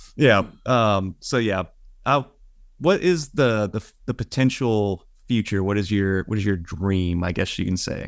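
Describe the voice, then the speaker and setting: A man with an American accent uses a normal speaking voice at a fairly low pitch and a fairly slow pace, with ordinary pitch variation. The recording is very clean and the background silent. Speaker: podcast co-host. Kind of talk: casual chat.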